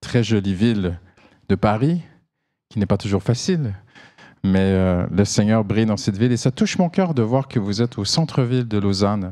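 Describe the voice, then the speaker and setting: Fairly low in pitch, a man speaks at a moderate pace with a dark, mellow tone and ordinary pitch variation. The recording is very clean, with a silent background. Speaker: pastor. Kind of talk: sermon. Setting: church service. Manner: animated.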